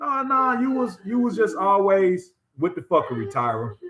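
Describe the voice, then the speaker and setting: The voice is raised and projected, moving at a moderate pace. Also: man. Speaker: live streamer. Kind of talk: casual live stream commentary. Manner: loud; animated, passionate. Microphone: new laptop mic, sound test.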